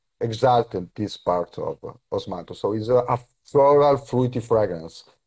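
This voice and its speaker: This man has a medium pitch and a somewhat breathy voice, speaking at a moderate pace in an Italian accent with ordinary pitch variation. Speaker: perfumer. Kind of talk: live stream interview. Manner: halting.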